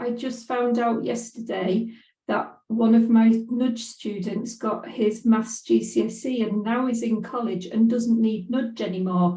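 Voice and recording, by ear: A woman's fairly high voice with a dark, mellow tone, fairly even intonation and a fairly slow pace, plus audible room echo.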